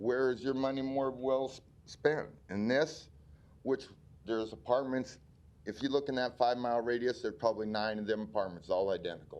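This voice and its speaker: A man with a Midwestern American accent, medium pitch and ordinary pitch variation, talking at a fairly quick pace. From Omaha, Nebraska. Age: 60s. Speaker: community member speaking at public hearing. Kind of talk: public hearing testimony. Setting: city planning board meeting. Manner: halting.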